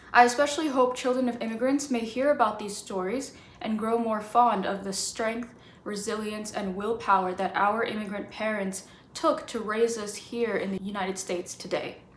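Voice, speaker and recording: Against noticeable background noise and audible room echo, a woman with an American accent speaks at a moderate pace, her fairly high pitch varying in an ordinary way. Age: 20s. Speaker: podcast host. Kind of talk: scripted intro reading; interview.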